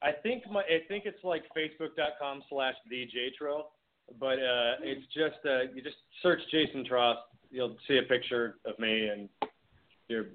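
A man talks at a fairly slow pace and medium pitch. He has a plain, everyday voice. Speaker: film director and actor. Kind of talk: casual interview. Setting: phone call.

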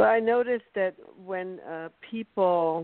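The woman has fairly low pitch and speaks in a German accent. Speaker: podcast host. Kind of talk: interview. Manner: slow.

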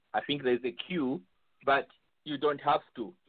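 A man's fairly high-pitched, unremarkable speaking voice at a fairly quick pace, with ordinary pitch variation. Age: 50s. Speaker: panelist. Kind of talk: casual chat.

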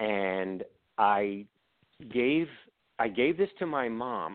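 With lively intonation, a man of fairly low pitch speaks in a plain, everyday voice. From Baltimore, Maryland. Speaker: author and video producer. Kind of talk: casual interview.

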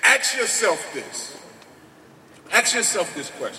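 Fairly slow speech from a man, with noticeable background noise behind it. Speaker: community activist. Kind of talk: speech at a rally. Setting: outdoors in front of a crowd. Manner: animated.

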